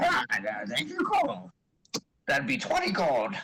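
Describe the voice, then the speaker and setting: A man performs a put-on character voice. His pace is fairly slow. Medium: actual play. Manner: wheedling, scatterbrained.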